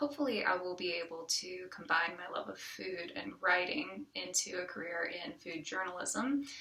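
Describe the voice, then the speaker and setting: A woman with an American accent talks at a moderate pace and medium pitch, with lively intonation and big swings in loudness. She barely pauses, and there is noticeable background noise. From US South, rural small town (near Charleston, South Carolina area). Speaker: community college student, former chef. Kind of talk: self-introduction video. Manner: halting, many fillers.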